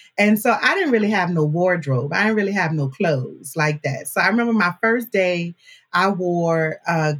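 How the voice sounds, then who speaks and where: In an American accent, the speaker sounds animated and somewhat breathy, with lively intonation at a fairly slow pace. The recording is very clean, with a silent background. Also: woman. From New Orleans, Louisiana (Marrero, West Bank). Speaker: podcast producer and host, university alumna. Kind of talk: casual interview chat.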